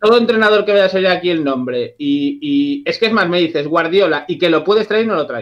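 A man's high voice with very wide pitch swings, a fairly quick pace and hardly any pauses, against a quiet background. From Galicia, A Coruña; Galicia. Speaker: channel subscriber and football fan panelist. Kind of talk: casual chat. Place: home room. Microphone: video call.

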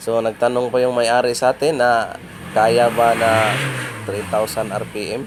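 The speech comes at a very slow pace in a monotone, flat intonation, with noticeable background noise. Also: man, medium pitch for a man. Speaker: auto mechanic. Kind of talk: tutorial. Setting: outdoors.

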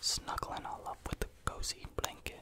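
A man whispering in a soothing, gentle tone at a moderate pace. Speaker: ASMR creator. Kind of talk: ASMR whispering for sleep. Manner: whispered, soothing, gentle. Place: home room. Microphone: studio mic.

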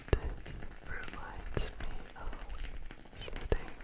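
A man is whispering, soft-spoken. His pace is very slow. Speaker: ASMR creator. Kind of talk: soft whispered ASMR talk. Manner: soft close-mic ASMR whisper. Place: home room. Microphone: studio mic.

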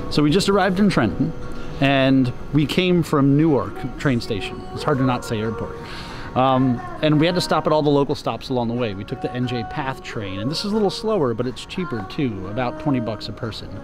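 Clear music plays behind a man speaking at a fairly quick pace. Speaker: travel vlogger. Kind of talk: casual vlog chat. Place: station. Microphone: phone near.

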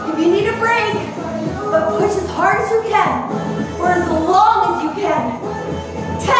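A woman speaks at a fairly slow pace with ordinary pitch variation and long, frequent pauses. Loud music plays in the background, and the room echo is audible. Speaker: fitness instructor. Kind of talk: workout instruction cues. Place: gym.

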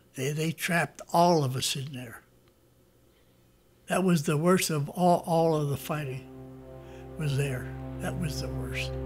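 Music plays in the background as a man with an American accent speaks at a fairly slow pace, with long, frequent pauses. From United States. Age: 80s+. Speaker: war veteran. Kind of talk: interview answer. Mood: grave, remembering hard times. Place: home room.

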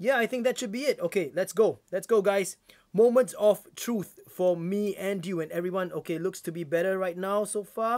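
A man with a Singaporean accent speaks at a moderate pace in a high voice, his pitch varying in an ordinary way against a quiet background. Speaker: YouTuber; live streamer. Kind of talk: live stream unboxing. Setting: live stream from home.

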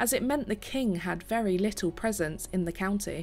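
A woman at a moderate pace with ordinary pitch variation, music in the background. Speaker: tour narrator. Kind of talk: documentary narration.

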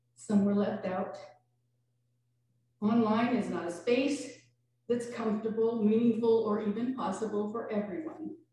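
A woman talks at a fairly slow pace with long, frequent pauses, in strong room echo with light background noise. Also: ordinary pitch variation. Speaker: minister. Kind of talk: sermon. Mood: reflective, warm. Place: church.

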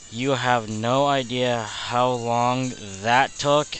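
Very slow, monotone speech from a man at medium pitch, flat in intonation, over noticeable background noise. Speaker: let's play gamer. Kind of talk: casual gameplay commentary. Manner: low-energy, deadbeat.

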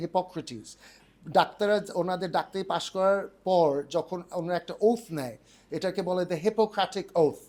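On a very clean recording with a silent background, a man talks in a high-pitched voice. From United Kingdom. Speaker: organic farm owner, entrepreneur. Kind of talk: interview, casual.

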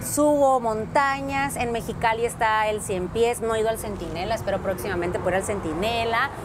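The talking proceeds at a moderate pace. Clear music plays in the background. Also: woman. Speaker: radio host. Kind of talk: interview answer.

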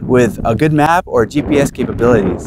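A man's voice in a dry sound with no echo, amid noticeable background noise. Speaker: outdoor guide host. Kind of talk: tourism guide talk to camera. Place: open country.

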